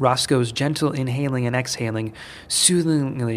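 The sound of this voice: Pitch varies in an ordinary way through this unforced reading voice.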